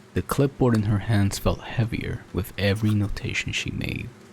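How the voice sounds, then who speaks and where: A man with a normal speaking voice talks at a moderate pace in a fairly low pitch. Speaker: storyteller, narrator. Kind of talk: horror story narration, ASMR-style.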